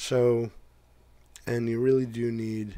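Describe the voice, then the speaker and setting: Delivering his words at a very slow pace, a man speaks with monotone, flat intonation. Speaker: tech YouTuber. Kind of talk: casual tutorial talk.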